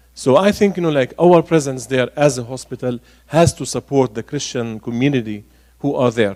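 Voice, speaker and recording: In an Arabic accent, a man speaks with a dark, mellow tone at medium pitch. His pace is moderate and his pitch varies in an ordinary way. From Galilee, northern Israel (Nazareth area). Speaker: archbishop. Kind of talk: public talk Q&A. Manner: hesitant, many fillers.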